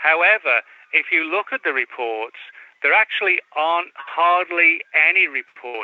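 A man speaks in an English accent. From England. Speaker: author. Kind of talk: interview. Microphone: laptop audio problems.

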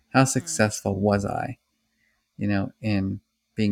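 Recorded with a dry, close sound and no echo, a man speaks at a fairly low pitch with vocal fry. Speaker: psychology professor. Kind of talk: interview. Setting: remote call. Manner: mellow.

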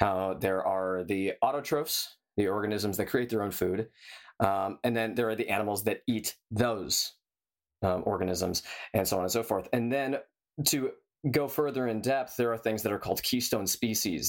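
A man with a normal speaking voice and a General American accent, fairly low in pitch with ordinary pitch variation, at a moderate pace on a very clean recording with a silent background. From San Diego, California. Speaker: biologist and climate activist. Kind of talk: casual chat.

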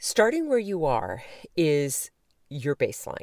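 A woman talks at a very slow pace. The recording is very clean, with a silent background and a dry, close sound with no echo. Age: 50s. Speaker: podcast host and life coach. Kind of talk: solo motivational talk. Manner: casual, conversational.

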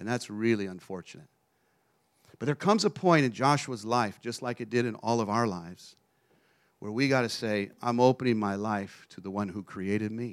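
A man talks fairly quickly with an American accent in a medium-pitched voice. It is a normal speaking voice with ordinary pitch variation. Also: very clean recording, silent background. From Texas. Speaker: traveling preacher. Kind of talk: sermon. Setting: church.

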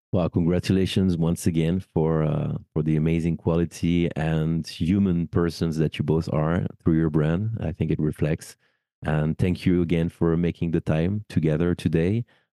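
A man with a French accent and a very deep, low pitch, dark and mellow in tone, at a moderate pace with fairly even intonation and very even loudness, in a dry, close sound with no echo. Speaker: wedding celebrant and podcast host. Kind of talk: casual interview chat.

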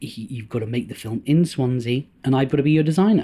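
A man talks at a fairly quick pace. His tone is dark and mellow and somewhat breathy. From North Wales (Anglesey). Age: 40s. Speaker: actor, producer and film director. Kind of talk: casual interview.

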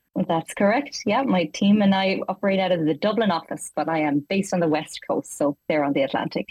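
At a fairly quick pace, a woman speaks with lively intonation and very even loudness. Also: medium pitch for a woman, hardly any pauses. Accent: slight Irish. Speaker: leader of an educational 3D product team. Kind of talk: interview.

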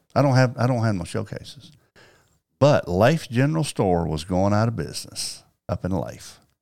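A man with a Southern US accent, fairly low in pitch, with lively intonation, in a very clean recording over a silent background. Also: moderate pace. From Arkansas, Paragould. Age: 60s. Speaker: sports card collector and card show promoter. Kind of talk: storytelling in casual interview.

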